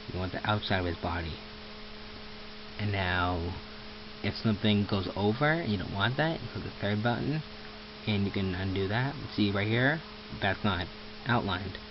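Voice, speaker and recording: Noticeable background noise is heard throughout. A man talks, leaving long, frequent pauses. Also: fairly low pitch for a man, ordinary pitch variation, moderate pace. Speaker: amateur tutorial maker. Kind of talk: screen-recorded software tutorial. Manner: casual, hesitant with self-corrections.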